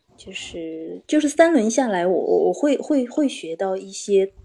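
Her intonation lively, a woman of medium pitch speaks in a dark, mellow tone. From Inner Mongolia, China. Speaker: communication course student. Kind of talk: practice conversation in class.

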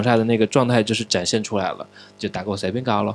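With music in the background, a man speaks at a very fast pace in a medium pitch and fairly even intonation. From Changsha, Hunan, China. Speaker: podcast host. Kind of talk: casual chat. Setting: studio.

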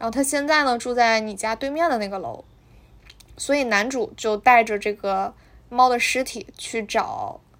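With lively intonation, a high-pitched woman speaks at a moderate pace. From Northeast China. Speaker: podcast host. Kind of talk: casual book talk. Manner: hesitant, many fillers.

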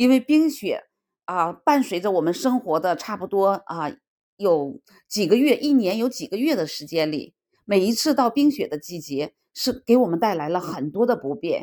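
A woman speaks at a moderate pace in a medium pitch with a dark, mellow tone and very wide pitch swings, on a very clean recording with a silent background. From northeast China, Harbin. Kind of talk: personal monologue. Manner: halting, with many fillers.

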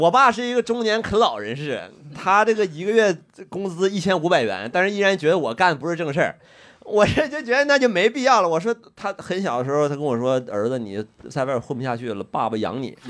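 A man talks at a very fast pace in a high voice. His pitch swings very widely. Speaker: stand-up comedian. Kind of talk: casual chat.

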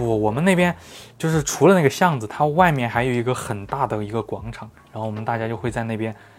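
Intonation is lively. The delivery is very fast. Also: man, medium pitch for a man. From Xinjiang, later Chongqing. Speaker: photography blogger. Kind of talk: casual chat.

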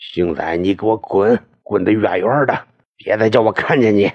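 Medium in pitch, the man speaks. He is doing a put-on character voice. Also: moderate pace. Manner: cursing, furious.

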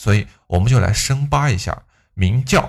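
A man at a moderate pace, with vocal fry and very wide pitch swings, on a very clean recording with a silent background. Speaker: history podcaster. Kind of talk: history storytelling monologue. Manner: quiet; conversational, chatty.

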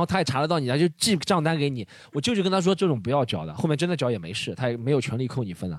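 Very fast and full of very wide pitch swings, a man's fairly high voice carries vocal fry. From Shanghai. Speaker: comedy podcast co-host. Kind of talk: casual chat.

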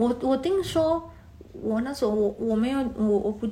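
In a Taiwanese accent, a woman speaks at a moderate pace with a high pitch. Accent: Taiwanese-accented Mandarin. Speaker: podcast guest, expat. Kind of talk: casual chat. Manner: hesitant, many fillers.

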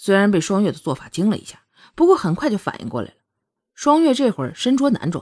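Quiet surroundings and a natural reading voice.

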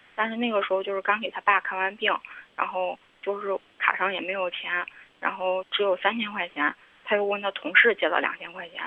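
Speaking fairly quickly, a woman keeps a medium pitch and fairly even intonation. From Henan. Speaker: caller. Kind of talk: phone-in confession. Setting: phone call. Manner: halting.

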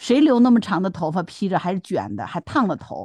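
In a dry, close sound with no echo and a quiet background, a woman with vocal fry speaks at a moderate pace with very wide pitch swings. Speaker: podcast co-host. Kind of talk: casual chat.

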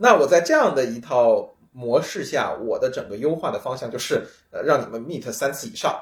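Here a man speaks at a moderate pace. His loudness swings widely. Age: middle-aged. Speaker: researcher in computing and economics. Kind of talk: casual chat. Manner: halting, many fillers.

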